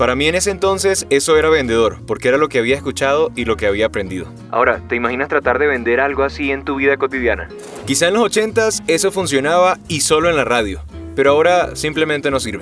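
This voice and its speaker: Very fast speech with very wide pitch swings over music in the background. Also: man. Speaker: voice actor and dubbing director. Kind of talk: voice coaching talk to camera.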